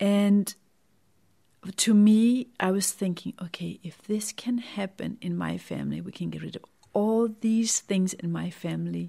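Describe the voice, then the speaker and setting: Speaking at a fairly slow pace with a Danish accent, a woman's voice shows big swings in loudness. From Denmark. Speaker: wellness author and podcaster. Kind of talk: personal testimony monologue.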